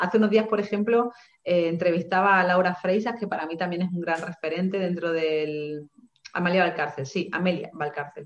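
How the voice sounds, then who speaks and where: The speaker has a normal speaking voice, talking at a moderate pace with ordinary pitch variation. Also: woman, fairly low pitch for a woman. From Seville, Andalusia, Spain. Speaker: writer and feminist coach. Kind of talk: online panel interview.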